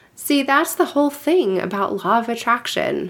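A woman speaks with lively intonation. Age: 40s. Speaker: podcast host, coach and hypnotherapist. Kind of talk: solo podcast monologue. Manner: casual, chatty.

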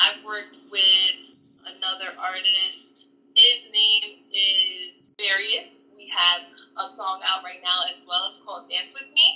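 Very slowly, a woman speaks in an American accent at a medium pitch. Her pitch variation is ordinary, while her loudness swings widely. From Hudson Valley, upstate New York. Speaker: pop and R&B singer. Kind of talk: casual interview. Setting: Instagram live.

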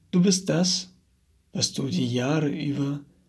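Delivered at a very slow pace, the somewhat breathy voice has lively intonation. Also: man. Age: 30s. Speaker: personal coach. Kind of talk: motivational monologue.

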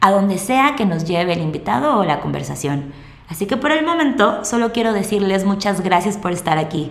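The speaker has a Mexican accent and very wide pitch swings. Noticeable background noise and audible room echo fill the recording. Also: woman, medium pitch for a woman, fairly quick pace. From Mexico. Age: 20s. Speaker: podcast host. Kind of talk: monologue podcast introduction.

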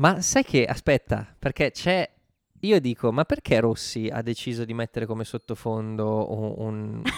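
A man speaks in a plain, everyday voice at a medium pitch, with ordinary pitch variation and a fairly slow pace. The sound is dry and close, with no echo. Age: 30s. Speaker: podcast co-host. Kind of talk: casual chat about a TV show.

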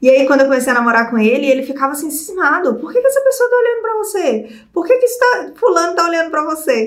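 A woman's high voice at a very fast pace, with very wide pitch swings. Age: 30s. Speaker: video creator. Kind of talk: personal storytelling vlog. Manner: animated, laughing often.

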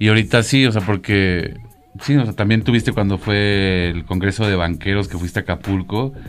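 This man has a Mexican accent and a fairly low pitch. He speaks at a moderate pace with ordinary pitch variation. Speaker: photographer and photography teacher. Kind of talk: casual chat.

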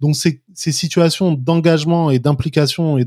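A man speaks with a dark, mellow tone. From France, Paris. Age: 40s. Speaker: activist and former finance professional. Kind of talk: interview.

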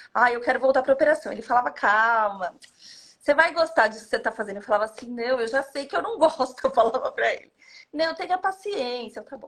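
This woman talks at a very fast pace. Her pitch is high. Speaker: hotel management consultant. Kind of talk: casual interview.

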